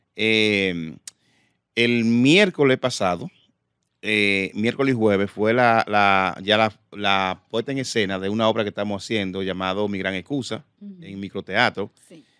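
The bright, sharp tone comes at a fairly slow pace with big swings in loudness and ordinary pitch variation, dry with no echo over a quiet background. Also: man, fairly low pitch for a man. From Dominican Republic. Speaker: comedian and impressionist; comedian. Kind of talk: casual chat. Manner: halting. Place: studio. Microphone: studio mic.

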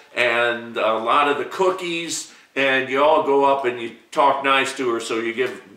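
A man talks at a fairly slow pace with ordinary pitch variation. Audible room echo surrounds his voice. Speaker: comic shop owner. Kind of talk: casual vlog chat. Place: shop.

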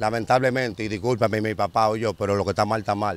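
A man talks at a very fast pace with ordinary pitch variation, and the sound is dry with no echo. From Dominican Republic, Santo Domingo; Dominican Republic. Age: 40s. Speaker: former street criminal; interviewee. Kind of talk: interview, street life testimony. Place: open country. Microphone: handheld.

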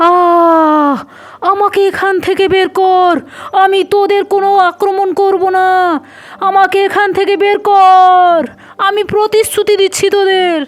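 The put-on character voice is shouting at an extremely high pitch, fairly slow, with monotone, flat intonation. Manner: screaming, begging.

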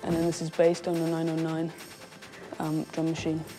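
With music in the background, a woman in a London accent talks at a fairly quick pace. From London, England. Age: 20s. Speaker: musician. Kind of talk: casual talk to camera.

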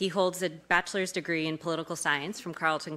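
This woman talks at a very fast pace. Her intonation stays fairly even. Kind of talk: speaker introduction. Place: hall.

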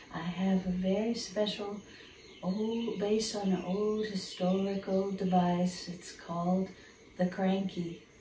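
A woman's very slow, monotone, flat delivery amid light background noise and audible room echo. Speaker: storyteller. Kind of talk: storytelling intro to children. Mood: warm, gentle, friendly. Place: hall. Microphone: phone near.

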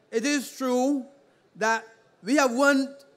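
With a Barbadian accent, a man speaks at a very slow pace with fairly even intonation. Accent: Barbadian (Bajan) English. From Barbados. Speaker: politician. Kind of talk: political rally speech. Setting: outdoor public meeting on playing field. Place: stage. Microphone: podium.

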